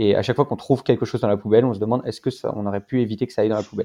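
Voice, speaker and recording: Against a quiet background, a man speaks in a medium pitch with a dark, mellow tone. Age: 20s. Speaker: startup co-founder. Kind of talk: interview.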